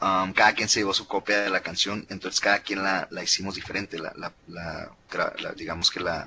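A man with an ordinary speaking voice, fairly low in pitch, with fairly even intonation at a moderate pace. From Mexico. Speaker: musician and composer. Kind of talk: casual interview chat. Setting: remote from home.

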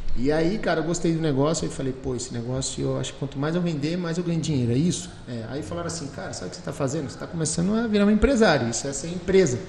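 A man talks at a very fast pace with lively intonation and hardly any pauses, over noticeable background noise. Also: fairly high pitch for a man. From Rio de Janeiro state, Brazil; moved to Valinhos (São Paulo) at 15. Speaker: entrepreneur, business founder. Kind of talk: casual interview. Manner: animated.

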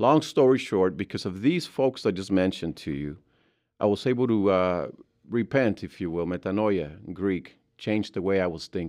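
Lively intonation runs through this man's speech. He has a very deep, low pitch and a Mexican accent. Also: moderate pace, quiet background. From Mexico. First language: Spanish. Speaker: grief recovery specialist. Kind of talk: interview. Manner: halting.

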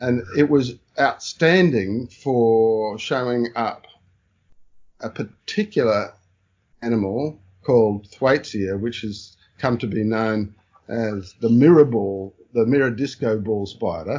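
Speaking at a very slow pace with an Australian accent, a man uses a medium pitch and ordinary pitch variation. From Brisbane, Australia. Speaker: taxonomist and spider expert. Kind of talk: interview.

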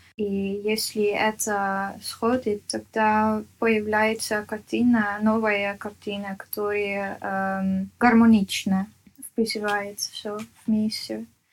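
The speech is monotone and flat, delivered at a very slow pace. The recording is very clean, with a silent background. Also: woman, medium pitch for a woman. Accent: Dutch. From Netherlands. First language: Dutch (speaking Russian). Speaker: artist. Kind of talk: interview. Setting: at home. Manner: halting.

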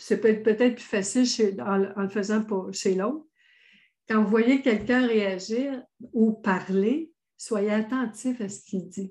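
A somewhat breathy woman at a fairly high pitch and a very slow pace, with ordinary pitch variation, over a quiet background. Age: 60s. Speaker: author, thought coach and speaker. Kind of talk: interview. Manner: animated.

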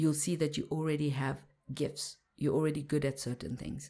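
A woman speaks at a moderate pace in a very deep, low voice with vocal fry. Her tone is dark and mellow. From Zimbabwe. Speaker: mindset mentor and meditation teacher. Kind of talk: interview conversation. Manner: halting, frequent restarts.

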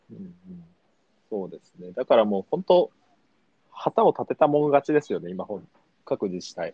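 This man talks at a moderate pace, leaving long, frequent pauses, and his loudness swings widely. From Japan, Kumamoto (Aso area). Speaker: PR and marketing staff. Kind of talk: casual chat. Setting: remote call. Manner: hesitant, many fillers.

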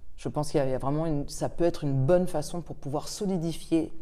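A woman's dark, mellow voice at a fairly quick pace, with audible room echo. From France and England. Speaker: start-up cofounder and English teacher. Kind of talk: interview.

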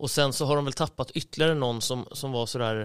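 In a normal speaking voice, a man talks at medium pitch with fairly even intonation. His recording is very clean, with a silent background. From Sweden, Uppland (Storvreta). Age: 30s. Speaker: floorball club manager. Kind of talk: casual chat.

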